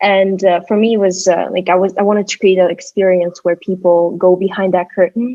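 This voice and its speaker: A woman with a Russian accent at medium pitch, monotone and flat, fairly quick with hardly any pauses, with music in the background. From Kyrgyzstan. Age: 20s. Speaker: artist and designer. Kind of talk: interview. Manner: halting.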